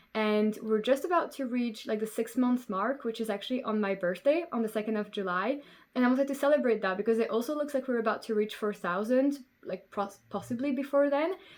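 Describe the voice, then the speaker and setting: A woman with a Belgian French accent, fairly high in pitch with ordinary pitch variation, at a fairly quick pace. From Belgium. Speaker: knitting podcaster. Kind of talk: casual chat.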